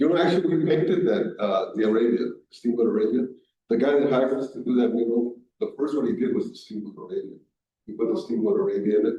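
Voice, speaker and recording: A man talks at a very fast pace in a medium pitch. His intonation is lively. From Colombia. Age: 60s. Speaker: artist and muralist. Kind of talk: library talk Q&A. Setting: library event with audience.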